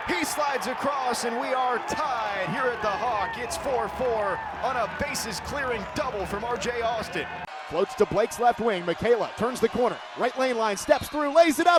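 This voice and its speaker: A man speaks at an extremely high pitch with lively intonation and an energetic, excited tone. His pace is moderate, and there is noticeable background noise. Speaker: sports play-by-play broadcaster. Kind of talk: sports play-by-play commentary.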